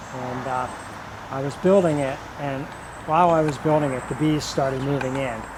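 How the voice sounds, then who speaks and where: A man speaks at a fairly high pitch in a monotone, flat delivery, with noticeable background noise and audible room echo. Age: 60s. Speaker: home gardener and conservationist. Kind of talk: garden tour. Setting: outdoors. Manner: halting, many fillers.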